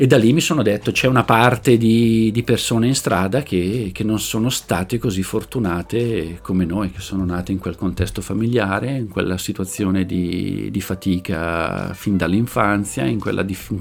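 This man talks at a moderate pace with hardly any pauses, his fairly low voice showing ordinary pitch variation. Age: 40s. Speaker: social worker for the homeless. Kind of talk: interview storytelling. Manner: halting, frequent word repetitions.

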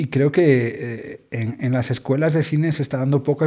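Here is a man with an unremarkable speaking voice at a moderate pace. His pitch is fairly high, with ordinary pitch variation. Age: 40s. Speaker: theatre school director. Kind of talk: interview.

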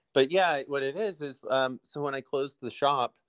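On a very clean recording with a silent background, a man with an American accent speaks at a fairly slow pace in a normal speaking voice. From US Midwest, Illinois. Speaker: bike shop owner and race organizer. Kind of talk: casual interview.

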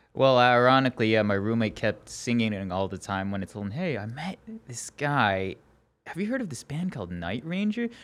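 A man talks at a fairly quick pace, his medium pitch carrying lively intonation. He has a plain, everyday voice. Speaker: podcast host. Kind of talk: casual interview.

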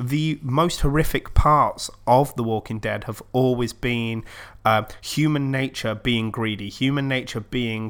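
A normal speaking voice comes through at a fairly slow pace with fairly even intonation, on a very clean recording with a silent background. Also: man. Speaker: podcast host. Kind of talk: casual chat.

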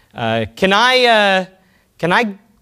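With a Texan accent, this man talks in a high voice that has a bright, sharp tone. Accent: Texan American. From Texas (Alvin, small town). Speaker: software entrepreneur. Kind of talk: conference talk. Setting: stage with audience.

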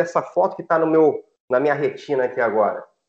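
The voice belongs to a man. There is ordinary variation in his pitch. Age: 40s. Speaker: sports journalist. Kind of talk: casual chat.

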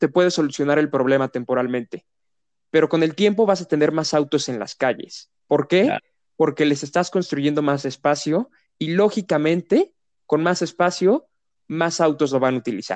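With an unremarkable speaking voice, a man speaks at a moderate pace and fairly high pitch, ordinary pitch variation, a dry, close sound with no echo and a quiet background. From Querétaro, Mexico. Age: 20s. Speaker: sustainability student and mobility activist. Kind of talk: interview.

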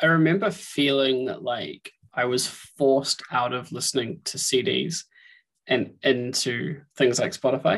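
The speaker has a New Zealand accent and ordinary pitch variation. The pace is fairly slow. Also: man, medium pitch for a man. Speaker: podcast host. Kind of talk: casual interview chat.

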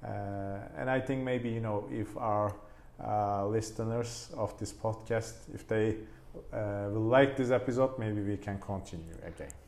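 A man with a Turkish accent, fairly low in pitch, at a fairly slow pace with ordinary pitch variation and audible room echo. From Turkey. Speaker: plastic surgeon. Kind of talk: podcast interview.

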